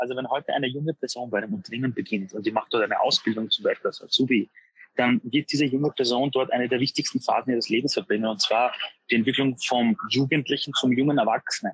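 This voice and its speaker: Talking at a very fast pace, a man keeps his loudness very even. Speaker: author and motivational speaker. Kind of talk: interview. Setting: street café.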